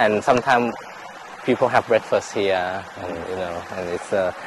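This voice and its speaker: Noticeable background noise under a male voice, unhurried but not slow, a moderate pace. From Thailand, Chiang Mai. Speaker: resort owner. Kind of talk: casual chat. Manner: halting, many repetitions.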